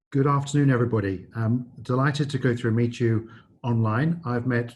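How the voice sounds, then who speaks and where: A man with a slight English accent speaks at medium pitch and a fairly quick pace. His intonation is fairly even and his voice somewhat breathy. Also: very even loudness. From England. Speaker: business school dean. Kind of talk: presentation. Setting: video call.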